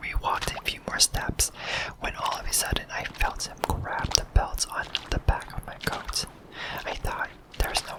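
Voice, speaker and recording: Whispering at a moderate pace, a man can be heard over noticeable background noise. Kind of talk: ASMR scary story reading. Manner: whispered.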